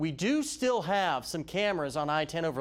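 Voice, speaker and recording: On a very clean recording with a silent background, a man speaks at a moderate pace in a plain, everyday voice, fairly high in pitch. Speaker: TV meteorologist. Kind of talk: TV weather broadcast.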